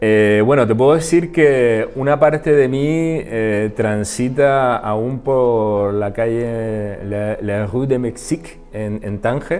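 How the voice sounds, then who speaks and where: Over noticeable background noise, a man with a medium pitch talks at a very slow pace with hardly any pauses and ordinary pitch variation. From Canary Islands, Gran Canaria. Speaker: interdisciplinary artist. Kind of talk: interview. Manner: halting.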